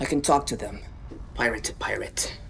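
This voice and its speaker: Whispering in a put-on character voice, the speaker keeps a moderate pace against clear background noise. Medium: short film.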